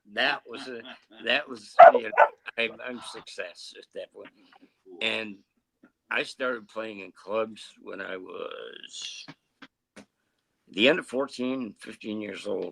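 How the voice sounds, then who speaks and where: A man speaks very slowly, leaving long, frequent pauses. His loudness swings widely. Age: 70s. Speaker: drummer. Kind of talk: casual chat. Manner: halting.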